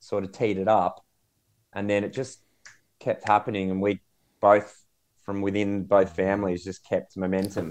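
A man with an Australian accent speaks at a fairly low pitch in a monotone, flat way. He leaves long, frequent pauses against a quiet background. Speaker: podcast co-host. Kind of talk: casual chat.

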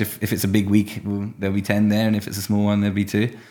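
Talking at a very fast pace, a man with a British accent speaks at a fairly low pitch. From UK. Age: 20s. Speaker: professional mountain biker. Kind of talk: casual chat. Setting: office above a skate park.

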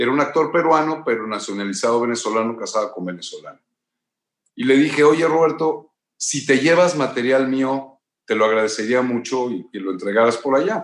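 A man's medium-pitched voice with a Mexican accent, fairly quick delivery and lively intonation. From Mexico. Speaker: actor and former model. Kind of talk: interview.

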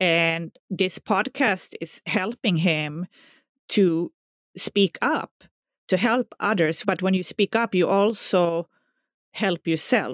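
In a very clean recording with a silent background, speech with a Swedish accent moves at a very slow pace with long, frequent pauses. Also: woman, medium pitch for a woman, ordinary pitch variation. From southern Sweden. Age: 40s. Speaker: music teacher. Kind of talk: personal testimony.

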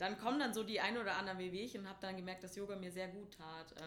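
Audible room echo around a woman's voice, medium in pitch, with fairly even intonation. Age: 20s. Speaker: tutor and yoga teacher. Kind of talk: interview.

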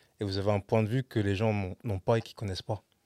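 Fairly low in pitch, a man's voice has a dark, mellow tone and fairly even intonation. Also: dry, close sound with no echo, very clean recording, silent background. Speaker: web show host. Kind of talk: casual interview.

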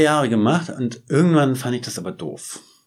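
With lively intonation and vocal fry, a man talks at a moderate pace. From northeastern Germany, Schwerin (Mecklenburg-Vorpommern). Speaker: photographer. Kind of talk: interview. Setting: studio.

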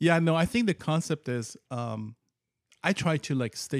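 A man speaks in a dry, close sound with no echo. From Iran. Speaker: biologist with PhD. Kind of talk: casual chat.

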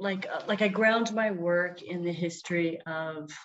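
With a Canadian accent, a woman talks at a fairly slow pace and a fairly low pitch. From Vancouver, Canada. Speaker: fiber artist and arts organizer. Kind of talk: casual chat. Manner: halting.

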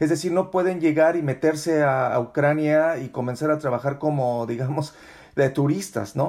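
A man talks at a moderate pace in a plain, everyday voice. His pitch is fairly high, with ordinary pitch variation. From Mexico. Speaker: podcast host, journalist. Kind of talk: interview.

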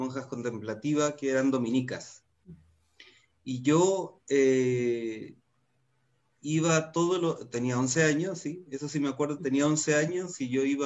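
A man talks in a plain, everyday voice. His pace is fairly slow, with ordinary pitch variation. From northern Chile. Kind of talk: casual chat.

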